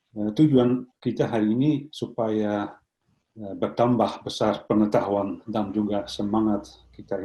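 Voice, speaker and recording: A man speaks with a Dutch accent at a fairly slow pace. His tone is dark and mellow, his pitch fairly low. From Netherlands. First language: Dutch (speaking Indonesian). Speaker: professor. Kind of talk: lecture. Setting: video call. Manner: halting.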